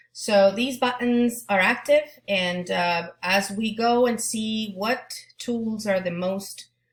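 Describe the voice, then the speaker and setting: A woman's fairly high voice with a Spanish accent, very slow, with hardly any pauses and ordinary pitch variation. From Argentina. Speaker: Spanish teacher. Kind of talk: back-to-school presentation to parents. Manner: halting.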